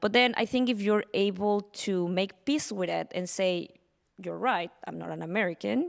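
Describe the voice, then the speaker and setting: Delivered at a moderate pace with a Spanish accent, the voice shows ordinary pitch variation. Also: woman, medium pitch for a woman. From Mexico. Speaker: panelist, tech business professional. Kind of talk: panel discussion. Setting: stage with audience.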